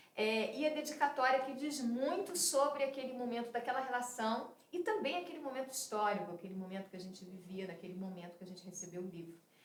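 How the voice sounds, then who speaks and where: A woman speaks in a high voice at a very fast clip with hardly any pauses, her pitch swinging very widely and her loudness rising and falling sharply, with audible room echo and noticeable background noise. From Rio de Janeiro, Brazil. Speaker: film director. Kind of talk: interview.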